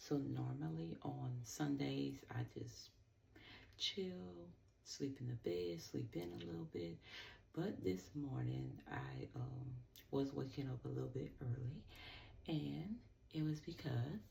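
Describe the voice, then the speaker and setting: Quiet and very slow, a woman speaks with vocal fry in a dark, mellow, very deep, low voice, with very wide pitch swings. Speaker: skincare seller and vlogger. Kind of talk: casual talk to camera. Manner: quiet, low-key.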